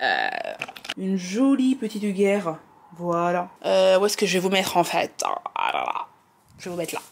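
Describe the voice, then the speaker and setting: Moderate pace against noticeable background noise. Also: woman. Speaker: lifestyle vlogger. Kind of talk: casual vlog talk to camera. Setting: at home. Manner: animated.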